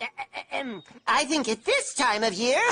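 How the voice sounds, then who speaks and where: A woman's cartoonish character voice, high in pitch, at a moderate pace. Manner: dry, often cut off.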